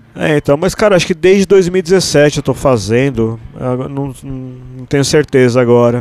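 A man's normal speaking voice at medium pitch, fairly slow in pace with lively intonation. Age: 40s. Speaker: musician and cartoonist. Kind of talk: casual chat. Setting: studio.

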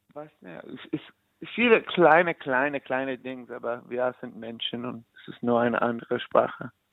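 A man's voice with an English accent, at a moderate pace, with ordinary pitch variation and big swings in loudness. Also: medium pitch for a man. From New York, US. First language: English (speaking German). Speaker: musician. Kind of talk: interview. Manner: halting.

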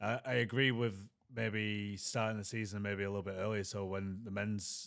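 A man with an English accent talks at a fairly quick pace in a monotone, flat intonation and fairly low pitch, on a very clean recording with a silent background. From England. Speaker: former rugby league player, podcast co-host. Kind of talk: casual chat.

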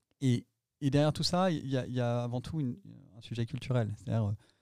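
On a very clean recording with a silent background, a man speaks in a dark, mellow tone at medium pitch with ordinary variation. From France, Nantes. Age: 40s. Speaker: company executive. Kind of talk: interview. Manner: hesitant, repeats words.

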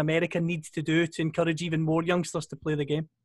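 Here a man talks at a high pitch with a Scottish accent. Behind him the background is quiet. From Scotland. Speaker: podcast co-host. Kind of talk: casual chat.

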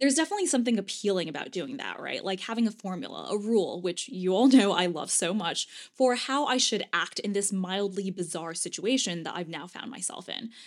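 A woman talks at a fairly quick pace with lively intonation and hardly any pauses. She has a medium pitch and an ordinary speaking voice. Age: 30s. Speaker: podcast host, former lawyer turned writer. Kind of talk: solo podcast monologue.

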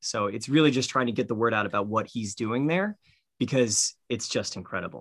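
With a normal speaking voice, a man talks at a fairly quick pace, medium in pitch with ordinary pitch variation, in a very clean recording with a silent background. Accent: American. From US. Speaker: film director. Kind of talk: interview.

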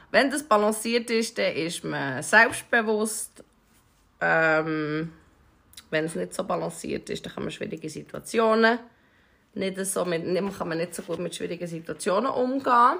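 Fairly slow speech with vocal fry, long and frequent pauses, lively intonation and a bright, sharp tone. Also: woman, medium pitch for a woman. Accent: Swiss. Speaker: podcast co-host. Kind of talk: casual chat.

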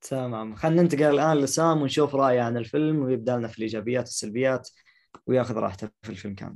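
Speaking at a very fast pace, a man with a medium pitch shows ordinary pitch variation and big swings in loudness. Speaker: podcast host. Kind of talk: casual chat. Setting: video call.

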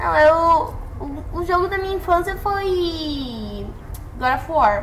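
Over noticeable background noise and audible room echo, a woman speaks at a very slow pace. Her pitch is extremely high. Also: lively intonation. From Brazil, São Paulo state interior (Jaguariúna). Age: 18. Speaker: podcast guest. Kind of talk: casual chat.

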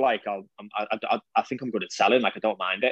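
Very fast speech in a monotone, flat intonation. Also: man. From the Wirral, northwest England. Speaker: sales coach and agency owner in the fitness industry. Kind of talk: casual podcast interview. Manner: direct, blunt.

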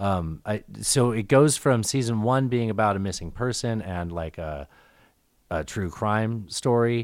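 At a fairly slow pace, a man speaks in an unremarkable speaking voice with ordinary pitch variation, captured in a very clean recording with a silent background. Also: fairly low pitch for a man. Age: 40s. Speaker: podcast co-host. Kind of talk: casual chat.

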